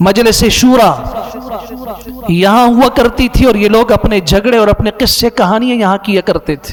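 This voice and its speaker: Over noticeable background noise, a man with a high pitch talks with ordinary pitch variation. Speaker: Islamic scholar and mufti. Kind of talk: Islamic sermon (bayan) delivered to an audience.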